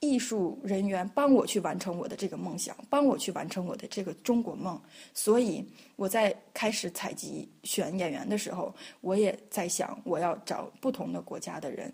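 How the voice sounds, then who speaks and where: At a moderate pace, a woman speaks in a dark, mellow, somewhat breathy voice of medium pitch. Her intonation is lively and her loudness swings widely. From northeast China (Liaoning). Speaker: choreographer and dancer. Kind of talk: interview. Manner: hesitant, many fillers.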